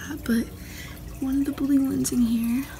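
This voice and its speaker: Noticeable noise sits behind a woman who talks at a medium pace. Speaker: pet owner. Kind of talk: casual talk to camera, pet care vlog. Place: home room. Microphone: phone near.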